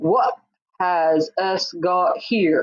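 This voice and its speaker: Booming at a middle pitch, a female-sounding put-on character voice fills the clip. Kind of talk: rough, dialect grammar.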